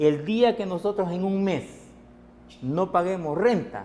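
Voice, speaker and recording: A man's voice over noticeable background noise. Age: 60s. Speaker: transport sector organizer. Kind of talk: TV interview.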